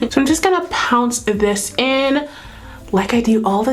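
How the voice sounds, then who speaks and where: A woman with an American accent speaks at a fairly slow pace. Noticeable background noise and audible room echo are present. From California. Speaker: beauty YouTuber. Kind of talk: makeup tutorial. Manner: casual, chatty.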